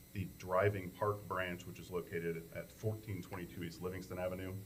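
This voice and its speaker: Audible room echo surrounds a man with a fairly low pitch. He moves at a fairly quick pace with fairly even intonation. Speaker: township trustee. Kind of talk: public meeting report. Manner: loud.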